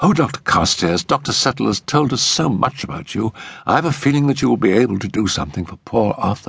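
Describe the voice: A fast, put-on character voice with lively intonation, vocal fry and a slightly husky edge. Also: man, fairly low pitch for a man.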